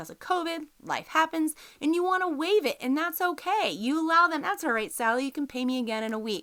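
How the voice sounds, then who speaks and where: A bright, sharp tone with a Texas accent, lively intonation and a fairly quick pace with hardly any pauses. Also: woman, high pitch for a woman. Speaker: podcast host, business lawyer. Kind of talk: educational podcast talk. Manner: casual, conversational.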